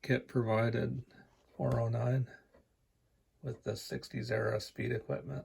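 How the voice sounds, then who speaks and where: A quiet, strained male voice comes through at a fairly slow pace. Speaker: scale model builder. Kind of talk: casual show-and-tell. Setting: home, basement suite, on couch. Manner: quiet, restrained volume.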